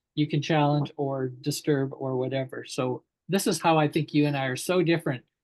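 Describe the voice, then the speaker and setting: With an unremarkable speaking voice, a man talks fairly quickly at a fairly high pitch and with fairly even intonation. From Canada. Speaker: educator and talk show host. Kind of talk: interview dialogue.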